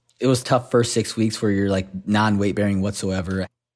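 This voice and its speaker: A man's fairly low-pitched, fairly even intonation in an unremarkable speaking voice. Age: 30s. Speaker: CrossFit athlete and former Navy SEAL. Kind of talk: casual chat. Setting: remote call from home. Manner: laid-back, filler-heavy.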